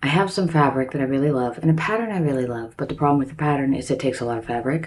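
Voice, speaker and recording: A woman with a very deep, low voice is heard with audible room echo. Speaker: DIY crafts YouTuber. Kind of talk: casual vlog intro. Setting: recording in her bathroom.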